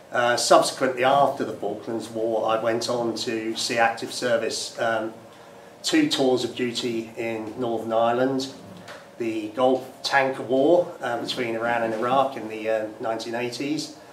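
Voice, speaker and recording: A man talks at a fairly slow pace in a monotone, flat intonation. Light background noise and audible room echo surround him. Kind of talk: interview answer. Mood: calm, reflective. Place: empty room.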